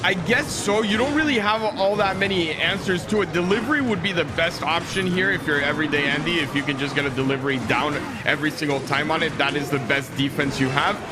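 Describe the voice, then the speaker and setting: With a high pitch and lively intonation, a man speaks at a very fast pace with hardly any pauses and very even loudness. Audible room echo and noticeable background noise fill the recording. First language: not English. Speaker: esports caster. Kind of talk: live commentary.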